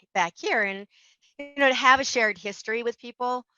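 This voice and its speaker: Speaking with an American accent, a woman moves at a fairly quick pace. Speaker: small business owner, interior designer. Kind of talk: interview. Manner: fast.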